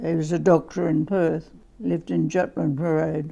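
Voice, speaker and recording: Here is a woman with an Australian accent and a fairly low pitch. She speaks at a very slow pace. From South Australia, Adelaide. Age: 80s+. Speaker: family history interviewee. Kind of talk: oral history interview. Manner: halting.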